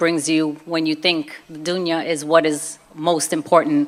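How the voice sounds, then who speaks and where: This woman has a Brooklyn accent. Her pitch sits fairly low. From Brooklyn, New York (Puerto Rican family). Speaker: convert speaker, former fitness trainer. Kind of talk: personal testimony talk. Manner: casual, conversational.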